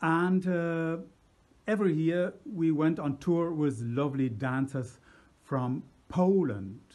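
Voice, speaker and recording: A man with a German accent talks at a fairly high pitch. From Germany. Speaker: musician. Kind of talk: personal anecdote. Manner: halting.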